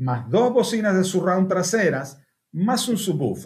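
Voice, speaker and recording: A man talks at a fairly slow pace in a high pitch with very wide pitch swings. The background is quiet. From Argentina. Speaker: car audio engineer; car audio trainer. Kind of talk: webinar presentation. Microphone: webcam.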